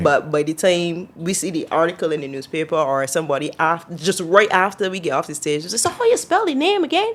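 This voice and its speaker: A woman with a Barbadian accent, a fairly low pitch and ordinary pitch variation, at a very fast pace with hardly any pauses. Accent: Barbadian (Bajan). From Barbados. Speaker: singer. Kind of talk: interview answer.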